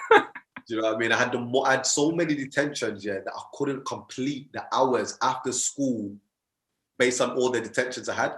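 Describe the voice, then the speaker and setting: A man speaks at a medium pitch with a Birmingham accent and fairly even intonation. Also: fairly quick pace. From Birmingham, England. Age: 20s. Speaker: motivational speaker and mindset coach. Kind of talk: podcast interview.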